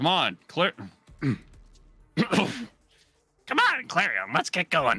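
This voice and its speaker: A raspy, put-on character voice sits at a middle pitch with very wide pitch swings. It crawls at a very slow pace with long, frequent pauses while music plays in the background. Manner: mimicking another character's voice.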